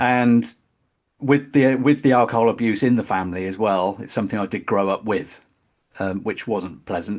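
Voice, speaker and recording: With a West Country accent, a fairly low-pitched man talks at a moderate pace with ordinary pitch variation. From West Country, England (Bristol). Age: 50s. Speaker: metal drummer. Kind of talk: interview testimony. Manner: halting.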